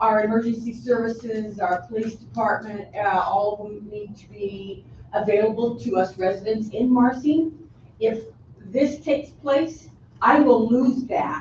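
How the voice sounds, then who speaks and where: A woman speaks slowly-ish in a normal speaking voice, her pitch fairly high and its variation ordinary. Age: 60s. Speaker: resident testifying at public hearing. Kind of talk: public testimony.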